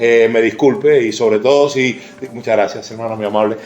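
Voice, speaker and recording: A man with a Cuban accent, amid noticeable background noise and audible room echo. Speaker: pastor. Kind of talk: sermon. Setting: church. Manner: halting.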